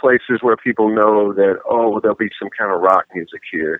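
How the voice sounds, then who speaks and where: A man speaks at a moderate pace. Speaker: rock guitarist and solo artist. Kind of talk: interview. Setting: phone call from a moving car.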